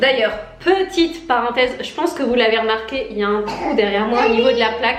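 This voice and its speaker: A woman's high-pitched voice at a fairly quick pace, with lively intonation, audible room echo and noticeable background noise. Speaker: lifestyle vlogger. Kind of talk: casual vlog talk to camera.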